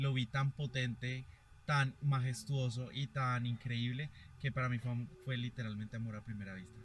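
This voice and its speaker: Somewhat breathy, a man with a medium pitch talks at a fairly quick pace with fairly even intonation. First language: Spanish. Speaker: interpreter and journalist. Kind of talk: live interpreting. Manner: halting.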